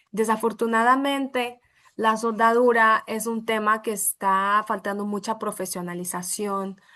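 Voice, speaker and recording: A bright, sharp voice with a Brazilian accent moves at a fairly slow pace with fairly even intonation. The background is quiet. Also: woman. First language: Portuguese (speaking Spanish). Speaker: welding metallurgy consultant. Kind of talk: webinar presentation.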